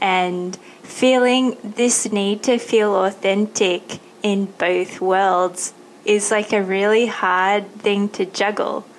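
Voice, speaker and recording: In an Australian accent, a woman talks at a very slow pace with a medium pitch, monotone, flat intonation and very even loudness. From Thailand and Australia. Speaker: podcast host. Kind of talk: interview.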